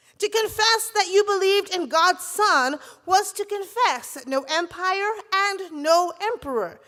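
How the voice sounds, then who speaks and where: A woman speaks at a fairly slow pace in a raised, projected voice, her extremely high pitch carrying a bright, sharp tone and ordinary pitch variation. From Barbados. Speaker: preacher and seminary professor. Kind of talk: sermon.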